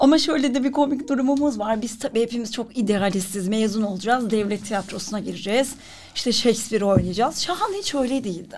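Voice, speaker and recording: An unremarkable speaking voice moves at a fairly quick pace with ordinary pitch variation and hardly any pauses. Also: woman, fairly high pitch for a woman. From Turkey, Ankara. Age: 40s. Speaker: writer and actress. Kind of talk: interview.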